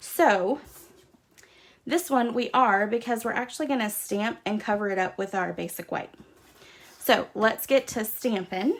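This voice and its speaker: At a fairly slow pace, a woman with a Southern US accent speaks at a fairly high pitch, with ordinary pitch variation and long, frequent pauses. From US South. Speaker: craft demonstrator. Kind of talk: tutorial. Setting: livestream. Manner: casual, chatty.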